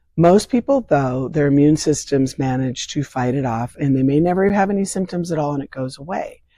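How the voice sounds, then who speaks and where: Fairly quick pace with hardly any pauses. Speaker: vaccine advocate. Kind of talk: interview.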